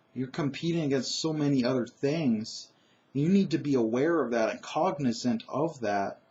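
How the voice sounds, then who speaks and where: Speaking at a fairly slow pace, a man with a fairly high pitch sounds somewhat breathy. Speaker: tabletop role-playing game master and vlogger. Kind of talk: casual monologue vlog. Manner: conversational with frequent fillers.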